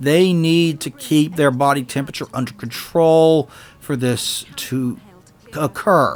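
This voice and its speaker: Music plays in the background as a man talks at a fairly slow pace. His voice is fairly high, with ordinary pitch variation. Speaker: game reviewer. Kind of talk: video game review narration.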